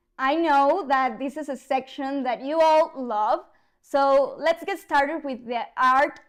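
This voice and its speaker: With a Mexican accent, a woman speaks at a high pitch with ordinary pitch variation. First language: Spanish. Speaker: news presenter. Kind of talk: news reading.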